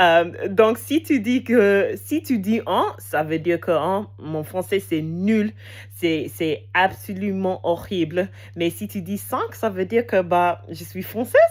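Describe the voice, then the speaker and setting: Speaking with an English accent, a woman uses a fairly low voice with very wide pitch swings. Her pace is very slow. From England. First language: English (speaking French). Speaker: language learner vlogger. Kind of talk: casual unscripted monologue. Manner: halting, many hesitations.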